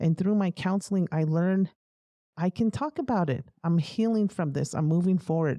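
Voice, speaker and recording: A woman with an American accent, fairly low in pitch, dark and mellow in tone, with lively intonation and very even loudness. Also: moderate pace. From Navajo reservation, US Southwest. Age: 50s. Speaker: military veteran. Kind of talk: interview testimony.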